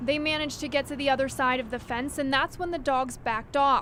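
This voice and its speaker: Very fast and high-pitched, a woman speaks with fairly even intonation. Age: 20s. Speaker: TV news reporter. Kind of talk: TV news report.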